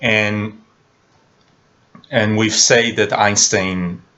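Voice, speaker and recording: Fairly even intonation at a very slow pace. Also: man. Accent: non-native. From Israel. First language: Hebrew. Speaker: film analyst YouTuber. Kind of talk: video commentary monologue. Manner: halting with many fillers.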